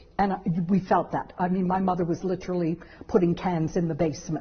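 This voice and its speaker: A woman is talking at a fairly quick pace. Her voice is somewhat breathy. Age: 60s. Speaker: law professor. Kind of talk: interview.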